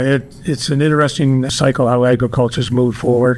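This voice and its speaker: In a Canadian accent, a man speaks at a medium pitch with monotone, flat intonation over noticeable background noise. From New Brunswick, Canada. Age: 70s. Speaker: agricultural bioeconomy expert. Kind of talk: panel podcast interview. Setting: live at a conference. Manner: halting, many repeated words.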